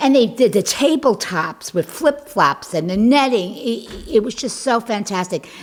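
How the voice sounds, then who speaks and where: A woman's fairly high, animated voice with lively intonation and a New York accent, over noticeable background noise. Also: moderate pace. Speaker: community club co-founder. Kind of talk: casual interview.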